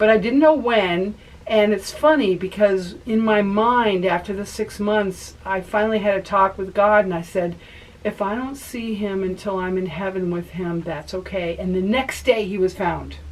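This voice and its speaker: A woman with a medium pitch talks at a moderate pace, her pitch varying in an ordinary way, amid noticeable background noise. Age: 60s. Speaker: author and nurse anesthetist. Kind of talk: interview testimony.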